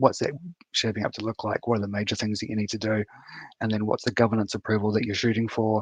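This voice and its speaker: A man with a New Zealand accent, fairly low in pitch, in monotone, flat intonation at a very fast pace, with a dry, close sound and no echo. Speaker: software architect, conference speaker. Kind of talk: conference talk. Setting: online live stream. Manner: halting, many fillers and repeats.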